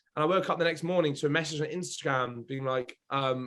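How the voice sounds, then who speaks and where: Fairly high in pitch, a man with a British accent talks at a fairly quick pace in an animated tone. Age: 20s. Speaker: reality TV contestant and mental health advocate. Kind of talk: casual podcast chat. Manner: animated, fast.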